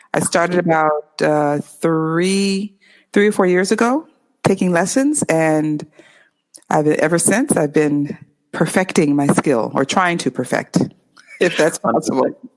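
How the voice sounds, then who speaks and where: In a West Coast American accent, the speech moves at a fairly slow pace with very even loudness and ordinary pitch variation. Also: woman, fairly low pitch for a woman. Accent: clear West Coast American. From Los Angeles, California. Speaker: English tutor. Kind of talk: interview.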